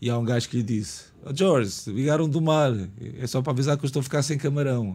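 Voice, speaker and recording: A man speaks at a fairly quick pace with a dark, mellow tone. His pitch varies in an ordinary way. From Lisbon, Portugal (Portela). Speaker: screenwriter. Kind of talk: casual chat.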